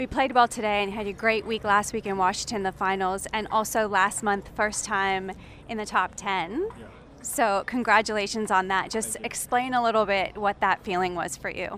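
A woman's plain, everyday voice at medium pitch and moderate pace, with fairly even intonation. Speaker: radio reporter. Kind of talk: interview. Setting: player lounge.

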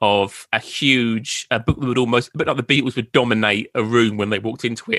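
A man in an Essex accent at a fairly quick pace, medium-pitched, with a bright, sharp tone, monotone, flat intonation and a dry, close sound with no echo. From Essex, England. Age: 30s. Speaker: podcaster and Beatles author. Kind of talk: interview. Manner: halting.

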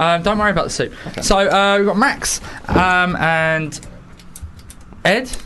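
This man's voice is high-pitched, raised and projected, moving at a moderate pace with ordinary pitch variation. Noticeable background noise runs beneath it. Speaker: radio host. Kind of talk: casual radio interview. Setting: studio.

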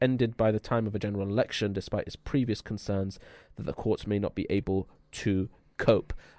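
Against a quiet background, a man speaks with a London accent at a fairly quick pace. The sound is dry and close, with no echo. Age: 20s. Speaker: radio host. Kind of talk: casual chat. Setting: studio.

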